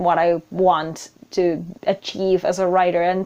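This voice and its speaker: Female speech with a non-native accent, pitched at a medium level. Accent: noticeable non-native English. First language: not English. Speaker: writer and video blogger. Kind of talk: casual vlog monologue. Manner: hesitant, with repeated words.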